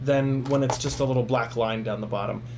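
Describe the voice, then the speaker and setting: A man speaks at medium pitch with audible room echo. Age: 30s. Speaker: FPV drone YouTuber and livestreamer. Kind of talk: casual livestream Q&A and unboxing. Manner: casual, filler-heavy with many ums and uhs.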